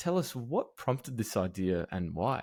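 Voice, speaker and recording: With an Australian accent and lively intonation, a man speaks at a fairly low pitch on a very clean recording with a silent background. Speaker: podcast host. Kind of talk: scripted intro; interview.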